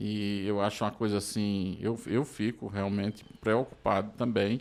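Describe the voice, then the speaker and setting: A man speaks at a fairly slow pace in a fairly low, monotone, flat voice. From Brazil, interior of Pernambuco. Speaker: journalist and podcast host. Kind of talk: podcast interview.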